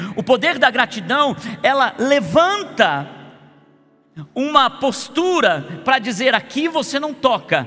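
With music in the background, a man with an extremely high pitch uses a raised, projected voice at a fairly slow pace. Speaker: pastor. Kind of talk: sermon. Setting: church service.

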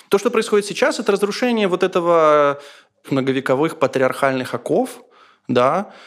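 In a very clean recording with a silent background, a man with a high pitch speaks at a moderate pace with very wide pitch swings, long and frequent pauses, and very even loudness. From Ukraine, Dnipro. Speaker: journalist, film critic and radio editor. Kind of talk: interview.

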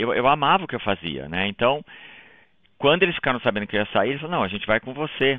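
With very wide pitch swings, a man talks at a very fast pace. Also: medium pitch for a man. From Brazil, interior of São Paulo state. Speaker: logistics company owner. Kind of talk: interview.

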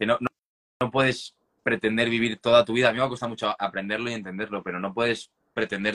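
In a bright, sharp tone, a man rattles along at a very fast pace, his fairly low voice keeping fairly even intonation. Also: dry, close sound with no echo. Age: 20s. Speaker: writer and poet. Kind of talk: interview.

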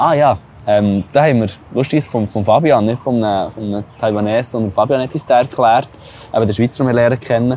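Amid noticeable background noise, a man with a Swiss accent talks at a fairly quick pace and medium pitch with ordinary pitch variation. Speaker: travel podcast host. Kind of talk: casual chat.

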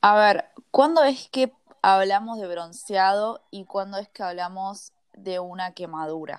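Speaking at a very slow pace in a Rioplatense accent, a woman keeps a medium pitch while her loudness swings widely. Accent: Argentine Rioplatense Spanish. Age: 20s. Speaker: podcast host. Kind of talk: interview.

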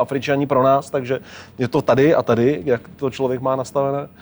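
A man talks at a fairly quick pace and medium pitch. He has an unremarkable speaking voice. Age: 40s. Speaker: traveller and documentary filmmaker. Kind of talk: interview.

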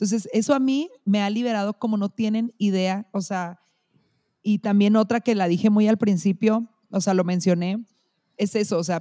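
At a moderate pace, a woman with a medium pitch and a dark, mellow tone speaks with fairly even intonation, in dry, close sound with no echo and a quiet background. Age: 30s. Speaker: educational support worker. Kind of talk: casual chat.

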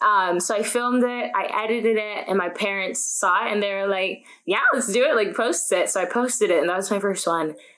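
Audible room echo surrounds a woman with an American accent who speaks fairly quickly at a medium pitch with ordinary pitch variation. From upstate New York, small town near Canadian border. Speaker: college student and YouTuber. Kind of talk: podcast interview.

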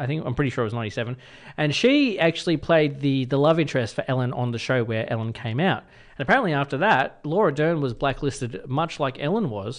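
Over a quiet background, a man with an Australian accent talks at a very fast pace. His pitch sits fairly high and varies in an ordinary way. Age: 30s. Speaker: radio host. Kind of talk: casual chat.

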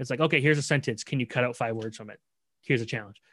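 A man's unremarkable speaking voice, medium in pitch with ordinary variation, with a Canadian accent, on a very clean recording over a silent background. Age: 20s. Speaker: sports journalist. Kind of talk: casual chat.

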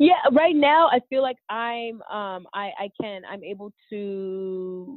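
Her pitch medium, a woman speaks with lively intonation. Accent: American. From California. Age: 30s. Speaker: entrepreneur. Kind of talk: interview. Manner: animated.

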